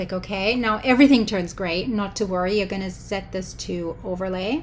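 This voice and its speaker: With a German accent, a woman speaks at a medium pitch and moderate pace. Her tone is animated, with ordinary pitch variation. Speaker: photo editing tutorial maker. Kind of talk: tutorial.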